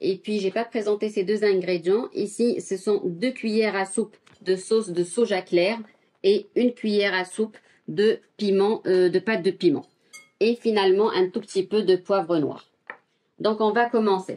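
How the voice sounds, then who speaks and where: In a dark, mellow tone, a woman speaks at a medium pitch with fairly even intonation. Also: fairly slow pace. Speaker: cooking youtuber. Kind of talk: cooking tutorial. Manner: halting, stammering; hesitant with many fillers.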